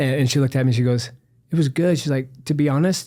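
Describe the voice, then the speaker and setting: This man has an American accent, a medium-pitched voice and ordinary pitch variation. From Southern California, San Diego. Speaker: doctor, health podcast co-host. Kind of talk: casual chat. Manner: fast.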